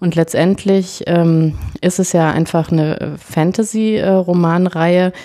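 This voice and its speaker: A woman speaks at a very slow pace in a fairly low pitch. Her tone is dark and mellow, with monotone, flat intonation. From western Germany. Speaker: podcast co-host, parent. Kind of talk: casual chat.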